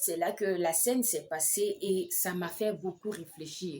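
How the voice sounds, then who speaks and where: Fairly slow delivery from a female speaker at medium pitch. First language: an African language (not French) (speaking French). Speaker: midwife and health vlogger. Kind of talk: vlog advice talk with personal story. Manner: hesitant, many fillers.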